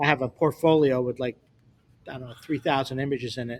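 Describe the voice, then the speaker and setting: An ordinary speaking voice from a man, fairly high in pitch with ordinary pitch variation, on a very clean recording with a silent background. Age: 60s. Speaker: photographer. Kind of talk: casual chat.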